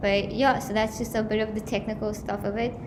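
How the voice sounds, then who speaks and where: A woman with a medium pitch talks at a moderate pace amid audible room echo and noticeable background noise. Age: 20s. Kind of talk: awareness talk to a live audience. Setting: college venue with live audience, livestreamed. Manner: conversational.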